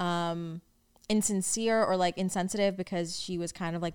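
On a very clean recording with a silent background, a woman speaks at a fairly low pitch with an American accent. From New York, Staten Island. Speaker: podcast host, social media creator. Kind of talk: casual solo Q&A chat.

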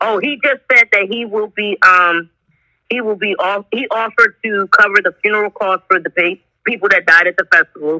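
A bright, sharp tone with ordinary pitch variation, a dry, close sound free of echo, and a moderate pace. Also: woman. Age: 30s. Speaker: food business owner. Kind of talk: casual chat.

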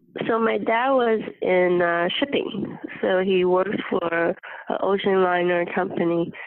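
A woman's medium-pitched voice in a Mandarin accent, fairly slow, with ordinary pitch variation and very even loudness. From Taiwan and Hong Kong. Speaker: interview guest. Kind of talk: casual interview. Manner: hesitant, many fillers.

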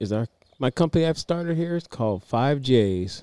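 This man has an ordinary speaking voice. He talks at a moderate pace with lively intonation. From US, military family (moved around). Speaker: podcast co-host. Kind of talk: casual chat. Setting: outdoors on a driveway.

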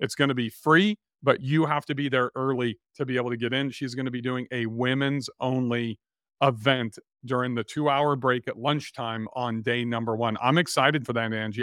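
A man talks in a plain, everyday voice at medium pitch. His pace is fairly quick, with ordinary pitch variation. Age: 50s. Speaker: podcast host. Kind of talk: casual chat; sales pitch.

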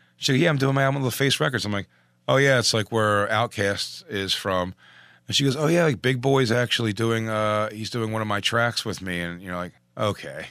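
A man with an American accent and a medium pitch speaks at a fairly quick pace in a bright, sharp tone. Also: ordinary pitch variation. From Philadelphia. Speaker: comedian. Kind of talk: casual chat. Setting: studio.

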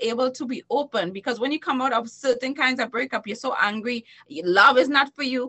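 The tone is animated. The intonation rises and falls in a lively way. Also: woman. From Trinidad and Tobago. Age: 40s. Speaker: entertainer and talk show host. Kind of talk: podcast interview. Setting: recorded while streaming live on Facebook.

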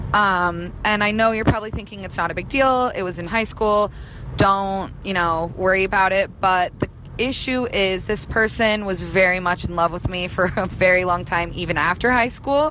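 A woman's ordinary speaking voice at medium pitch and a moderate pace, with an American accent. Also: ordinary pitch variation. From Utah. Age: 20s. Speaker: caller. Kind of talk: voicemail question.

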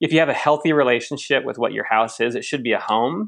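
Against a quiet background, a man with an American accent and a plain, everyday voice speaks with ordinary pitch variation. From United States. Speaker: fintech app founder. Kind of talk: interview. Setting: podcast interview.

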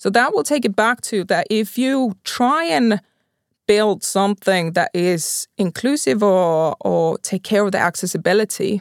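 Recorded very cleanly with a silent background and a dry, close sound with no echo, a woman speaks at a medium pitch with a Finnish accent. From Finland, Pori. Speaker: mobility company executive. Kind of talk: interview. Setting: studio.

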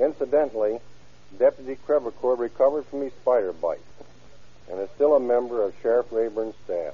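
Pitch varies in an ordinary way as the speech moves at a fairly quick pace. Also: man, medium pitch for a man.

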